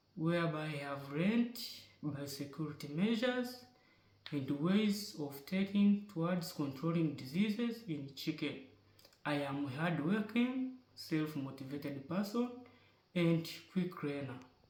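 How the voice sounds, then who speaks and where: Amid audible room echo, a man with a fairly high voice speaks at a fairly slow pace with lively intonation. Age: 20s. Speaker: poultry farm worker. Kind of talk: job application video. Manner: formal.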